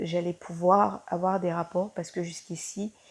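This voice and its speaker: A woman talks in a fairly low pitch with a dark, mellow tone. Her intonation is monotone and flat, over a quiet background. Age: 20s. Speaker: student sharing patient testimonial. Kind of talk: testimony. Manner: hesitant, many fillers.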